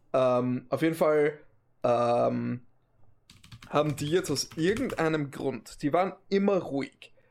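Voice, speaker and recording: A man's fairly high voice at a very slow pace, with long, frequent pauses and ordinary pitch variation. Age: 20s. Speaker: podcast co-host. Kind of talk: casual chat.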